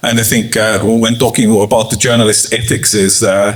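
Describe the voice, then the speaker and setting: Fairly low male speech in a flat monotone. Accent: Estonian. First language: Estonian. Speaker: journalist and startup communications professional. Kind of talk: panel discussion. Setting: office event with audience. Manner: halting.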